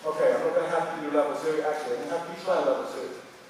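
Strong room echo surrounds a man who speaks very fast at a fairly high pitch with ordinary pitch variation.

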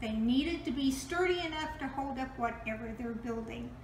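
A high-pitched woman's voice with audible room echo and light background noise. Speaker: presenter. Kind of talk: tutorial. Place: kitchen. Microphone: camera far.

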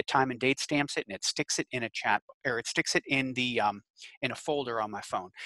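A man speaks at a moderate pace in a bright, sharp tone with ordinary pitch variation. The sound is dry with no echo, and the background is quiet. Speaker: extension educator. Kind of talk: webinar lecture. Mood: friendly, anecdotal. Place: home room. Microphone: headset.

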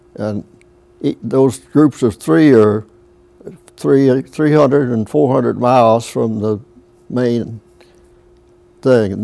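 Speaking in a Southern US accent, a man talks at a very slow pace with long, frequent pauses. His pitch varies in an ordinary way. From US South. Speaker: World War II veteran. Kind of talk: interview. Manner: halting. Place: studio. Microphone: lapel.

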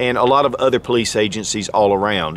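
An unremarkable speaking voice with ordinary pitch variation, a dry sound with no echo, and light background noise. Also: man. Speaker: firearms reviewer. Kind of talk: product review talk. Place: open country.

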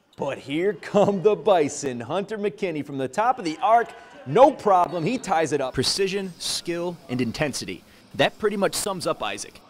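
A man speaks with lively intonation at a high pitch. Noticeable background noise is present. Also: moderate pace. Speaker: sportscaster. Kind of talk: TV sports news reporting.

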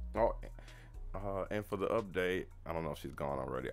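A man talks at a moderate pace while faint music plays in the background. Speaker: livestream co-host reading viewer comments. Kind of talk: casual, slangy. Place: home room.

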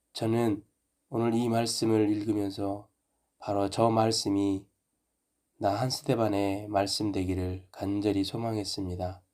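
A man speaks at a very slow pace in a fairly low pitch with a dark, mellow tone and monotone, flat intonation. The recording is very clean with a silent background. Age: 50s. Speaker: pastor / ministry teacher. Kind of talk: devotional reflection and prayer.

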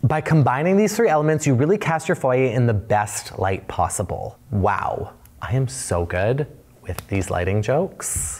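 Over noticeable background noise, a man at medium pitch speaks at a moderate pace, his pitch swinging very widely. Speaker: interior design YouTuber. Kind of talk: tutorial. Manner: animated.

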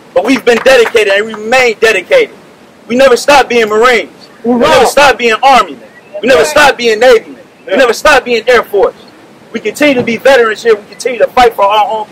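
A man with an American accent and an extremely high pitch, very fast, with ordinary pitch variation and noticeable background noise. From US Midwest. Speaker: veteran and business applicant. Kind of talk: rally speech. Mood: aggrieved, determined. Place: street. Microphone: podium.

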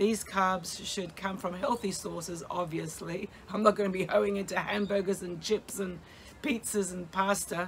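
At a moderate pace with fairly even intonation, the voice comes through over light background noise. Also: woman. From Australia. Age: 60s. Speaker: vlogger documenting weight loss. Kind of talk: casual vlog monologue. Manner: halting, with many fillers. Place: garden. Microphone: phone near.

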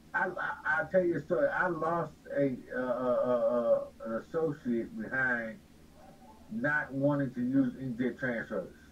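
With an American accent, a man speaks at a fairly slow pace, his fairly high pitch moving in lively intonation over noticeable background noise. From Los Angeles, California. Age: 40s. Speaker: t-shirt business owner. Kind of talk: interview.

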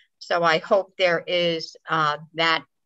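Against a quiet background, a woman speaks with a fairly low pitch and a bright, sharp tone. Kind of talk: meeting question and comments. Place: home room. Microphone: video call.

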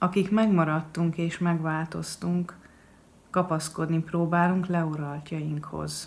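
A woman with a Hungarian accent, fairly low in pitch, monotone and flat in intonation, at a very slow pace. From Hungary. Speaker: poet. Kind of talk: poetry reading. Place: home room. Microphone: webcam.

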